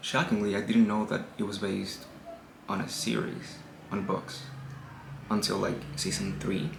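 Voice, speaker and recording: With noticeable background noise behind him, a man speaks at a fairly low pitch and moderate pace, with ordinary pitch variation and long, frequent pauses. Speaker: book reviewer video host. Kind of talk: casual talk to camera.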